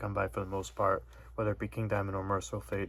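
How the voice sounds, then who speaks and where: A man mumbling at a fairly quick pace. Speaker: metal music YouTuber. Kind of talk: casual vlog monologue. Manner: monotone.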